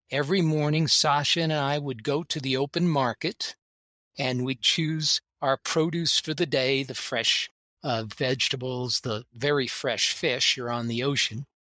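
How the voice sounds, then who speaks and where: Speaking at a fairly slow pace in an ordinary speaking voice, a man with a fairly high pitch and ordinary pitch variation sounds dry and close, with no echo. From United States. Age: 60s. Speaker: bridge champion. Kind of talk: casual chat.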